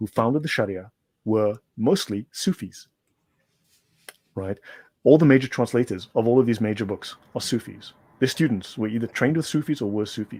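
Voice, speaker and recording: A man with a dark, mellow tone speaks at a fairly quick pace with long, frequent pauses, in a dry, close sound with no echo. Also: medium pitch for a man, ordinary pitch variation. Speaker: guest on a religion debate show. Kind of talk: lecture-style explanation in a panel discussion. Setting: online radio show. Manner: fast.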